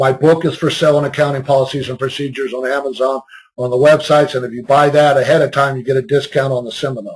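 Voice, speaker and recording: The speaker sounds somewhat breathy and moves at a fairly quick pace. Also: man. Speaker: compliance consultant giving a webinar. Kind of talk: webinar presentation. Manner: fast.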